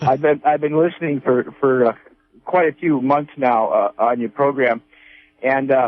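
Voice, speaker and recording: A man's plain, everyday voice with an American accent, fairly high pitch, fairly even intonation, very even loudness and a moderate pace. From northern California. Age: 60s. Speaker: caller. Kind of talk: phone-in question.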